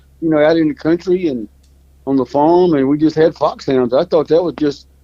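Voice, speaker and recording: Speaking fairly quickly in a Louisiana accent, a man uses a fairly high pitch with ordinary pitch variation. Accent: Southern US (Louisiana). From US South, North Louisiana. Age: 70s. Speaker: fox hunter, hound breeder. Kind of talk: casual interview chat.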